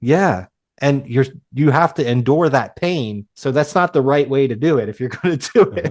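Against a quiet background, a man speaks with lively intonation and a fairly high pitch. He has a plain, everyday voice. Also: moderate pace. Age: 30s. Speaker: podcast host. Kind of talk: casual interview.

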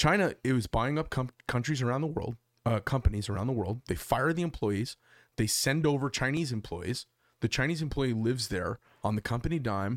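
With an American accent and an unremarkable speaking voice, a man speaks at a fairly quick pace with lively intonation, on a very clean recording with a silent background and a dry, close sound with no echo. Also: medium pitch for a man. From Arizona, Phoenix. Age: 50s. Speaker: podcast host. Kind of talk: casual chat. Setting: studio.

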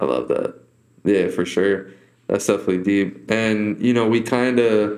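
This man has a normal speaking voice, pitched fairly low, with fairly even intonation at a moderate pace. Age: 20s. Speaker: podcast host. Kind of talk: casual interview.

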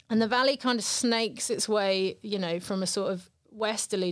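A woman with a southern English accent talks at medium pitch with fairly even intonation. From southern England, Brighton. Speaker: poet. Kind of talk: casual interview chat.

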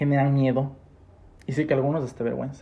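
Somewhat breathy, with a dark, mellow tone, a man at a medium pitch speaks at a fairly quick pace. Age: 20s. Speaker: podcast host. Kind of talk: casual chat.

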